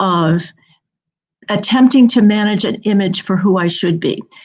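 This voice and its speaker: A woman speaks in a medium pitch, with ordinary pitch variation. Her voice is somewhat breathy. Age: 70s. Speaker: author and keynote speaker. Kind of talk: interview.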